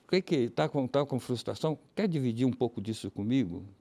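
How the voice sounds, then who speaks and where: Lively intonation runs through a man's dark, mellow tone at a moderate pace. The sound is dry and close, with no echo. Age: 80s+. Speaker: crisis helpline volunteer. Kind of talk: TV interview.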